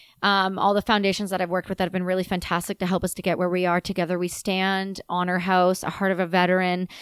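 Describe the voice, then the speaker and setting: A woman with a Canadian accent at a medium pitch, very fast and with hardly any pauses, in a very clean recording with a silent background and a dry, close sound with no echo. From Canada. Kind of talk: casual interview conversation. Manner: loud; animated.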